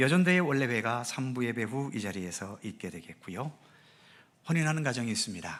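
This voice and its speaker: This man has an ordinary speaking voice, medium in pitch, and talks at a fairly quick pace with lively intonation. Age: 60s. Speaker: pastor. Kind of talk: church announcements. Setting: church service. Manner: formal.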